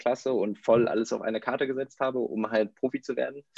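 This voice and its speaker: Dry, close sound with no echo captures a man at a medium pitch in a normal speaking voice. He moves at a fairly quick pace with fairly even intonation. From northern Germany, near Bremen. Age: 30s. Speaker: former tennis pro, company co-founder. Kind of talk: podcast interview.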